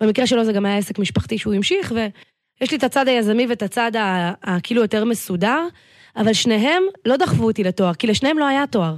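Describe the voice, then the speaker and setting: At a fairly quick pace, a woman with an ordinary speaking voice uses a fairly high pitch and lively intonation, her loudness very even on a very clean recording with a silent background. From Israel, north Tel Aviv. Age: 30s. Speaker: business coach. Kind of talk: podcast interview.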